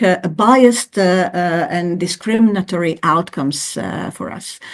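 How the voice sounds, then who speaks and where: The background is quiet. The speech goes at a moderate pace. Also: woman. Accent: non-native. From Croatia. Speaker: professor. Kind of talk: interview. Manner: hesitant, many fillers.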